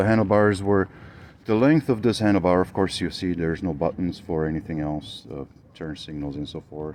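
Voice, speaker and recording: The speaker has a Romanian accent and a moderate pace. Pitch varies in an ordinary way. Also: man. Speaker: motorcycle builder. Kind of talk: video walkthrough of a custom motorcycle. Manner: hesitant, many fillers.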